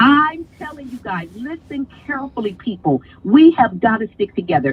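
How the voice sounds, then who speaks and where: A woman speaks in an animated tone at a high pitch. Her pitch swings very widely, and her pace is moderate. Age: 60s. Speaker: live stream guest. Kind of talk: casual chat.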